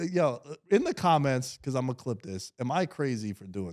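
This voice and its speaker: An animated speaker with a strong New York accent moves at a moderate pace through very wide pitch swings, in a very clean recording with a silent background. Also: man. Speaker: sports podcast host. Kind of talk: casual chat.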